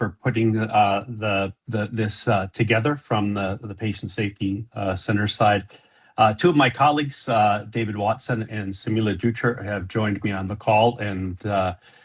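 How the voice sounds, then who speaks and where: With an American accent, the somewhat breathy speaker keeps a moderate pace and fairly even intonation. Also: man. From US Southwest, Phoenix, Arizona. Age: 60s. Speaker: safety consultant, presenter. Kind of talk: webinar presentation. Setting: video call. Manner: many filler words, halting.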